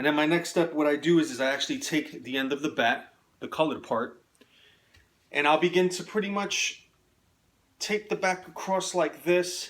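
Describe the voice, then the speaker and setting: A man with a New York accent talks in a high pitch with ordinary variation. His pace is moderate, with long, frequent pauses. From New York City, the Bronx. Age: 30s. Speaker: amateur stickball player. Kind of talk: tutorial. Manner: casual, with frequent filler words.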